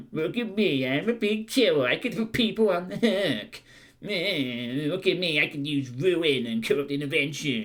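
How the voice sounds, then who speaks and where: A man uses a put-on character voice. He speaks at a moderate pace with very wide pitch swings. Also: fairly high pitch for a man. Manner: silly, mocking, bragging.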